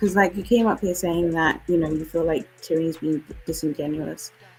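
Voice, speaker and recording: Over music in the background, a woman with a British accent speaks at a moderate pace in a fairly low pitch with fairly even intonation. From UK. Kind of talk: heated debate.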